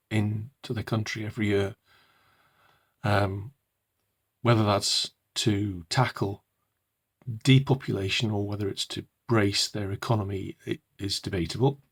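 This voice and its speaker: Recorded dry and close with no echo and a silent background, a man speaks at a fairly slow pace in a fairly low, somewhat breathy voice. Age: old. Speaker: purpose coach and author. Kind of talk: casual talk to camera. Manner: hesitant, many fillers.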